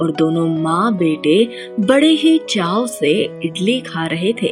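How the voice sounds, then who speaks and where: Very wide pitch swings run through the speech, with music in the background. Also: woman. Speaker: voice actor. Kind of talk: children's story narration.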